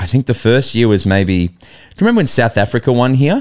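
A man at medium pitch with big pitch swings and a fast pace, in a very clean recording with a silent background. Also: slightly mellow tone.

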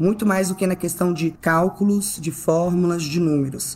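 At a fairly quick pace, a woman speaks in a dark, mellow tone with a fairly low pitch. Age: 20s. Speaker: financial consultant. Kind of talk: casual interview.

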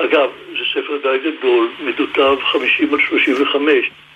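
Noticeable background noise runs under the audio. The voice belongs to a man. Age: 90s. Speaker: book designer. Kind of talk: radio interview. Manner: halting, many filler sounds.

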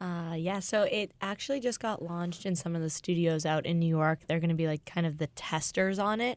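In a normal speaking voice with an American accent, the speaker moves at a fairly quick pace with hardly any pauses and ordinary pitch variation, on a very clean recording with a silent background. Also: woman, fairly low pitch for a woman. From Boston. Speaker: fitness head coach. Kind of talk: interview.

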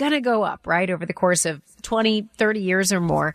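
A woman's fairly quick, medium-pitched speech with lively intonation and a dry, close sound with no echo. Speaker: radio show co-host. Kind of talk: infomercial hosting, upbeat and scripted-sounding. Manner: bright, friendly, enthusiastic.

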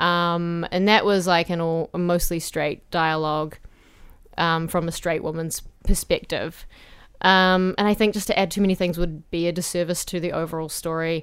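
A woman with a New Zealand accent speaks at a moderate pace and a fairly low pitch, her intonation monotone and flat. The recording is very clean with a silent background. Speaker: playwright and theatre director. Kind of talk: casual chat. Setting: studio booth.

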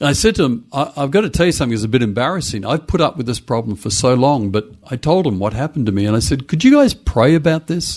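A man at a medium pitch with an Australian accent, a very fast pace, hardly any pauses and lively intonation. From Western Australia, Perth. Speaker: pastor and church consultant. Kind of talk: casual interview. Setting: home study, remote call.

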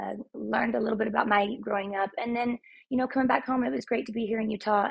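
With an American accent, a woman speaks with vocal fry and ordinary pitch variation. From Texas. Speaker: former hairstylist, trauma survivor. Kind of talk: casual interview, personal story.

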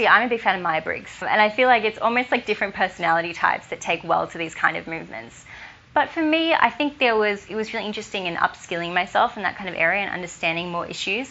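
Speaking at a very fast pace with lively intonation, a woman talks in an Australian accent. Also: medium pitch for a woman. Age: 20s. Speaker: law student and youth advocate. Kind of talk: interview.

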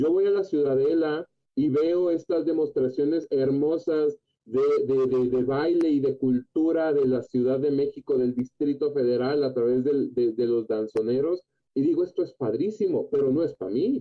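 A man uses a plain, everyday voice, fairly high in pitch with ordinary pitch variation. He keeps a moderate pace and very even loudness. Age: 30s. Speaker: psychogerontologist. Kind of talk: radio interview.

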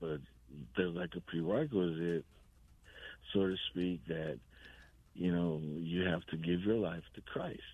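Very deep and low in pitch, a man with an American accent speaks at a fairly slow pace with fairly even intonation and long, frequent pauses. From Seguin, Texas. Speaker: caller. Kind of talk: casual chat. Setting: phone call.

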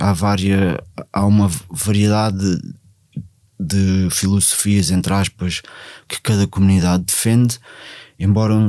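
A man's fairly low voice at a very slow pace, with fairly even intonation. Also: very clean recording, silent background. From Portugal, Ribatejo. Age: 40s. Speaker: former drug addict, outreach worker. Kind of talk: personal testimony. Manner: halting, many fillers and repetitions.

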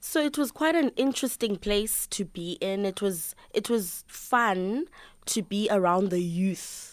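A woman's medium-pitched voice with a South African accent, lively intonation and a fairly slow pace, in a very clean recording over a silent background. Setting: studio.

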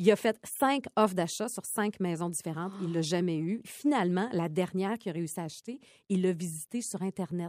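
At a fairly quick pace, a woman in a normal speaking voice talks with ordinary pitch variation. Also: medium pitch for a woman, dry, close sound with no echo. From Quebec, Côte-Nord (Port-Cartier). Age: 40s. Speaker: podcast co-host, TV personality. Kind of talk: casual chat.

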